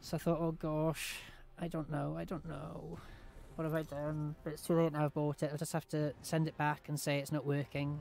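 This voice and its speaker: With a British accent, a man speaks at a moderate pace in a fairly high voice with monotone, flat intonation, in a dry recording with no echo and light background noise. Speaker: gaming streamer. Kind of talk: casual chat while gaming livestream. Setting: home livestream. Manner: loud, radio-style projection. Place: home room.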